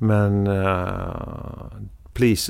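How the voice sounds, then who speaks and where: This man has a fairly low-pitched voice. The recording is very clean, with a silent background. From Sweden, southern Skåne. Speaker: media executive and podcaster. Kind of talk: casual interview. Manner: halting.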